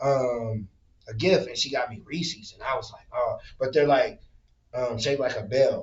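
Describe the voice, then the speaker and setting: Lively intonation marks a man with an American accent who speaks at a fairly quick pace and fairly high pitch, somewhat breathy. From northern Indiana, Michigan City. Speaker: podcast host. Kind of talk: casual chat.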